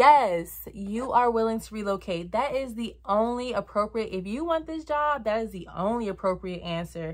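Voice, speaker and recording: With an American accent, a woman speaks in a fairly high voice and an animated tone. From Virginia, US. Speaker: flight attendant vlogger. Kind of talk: casual advice vlog.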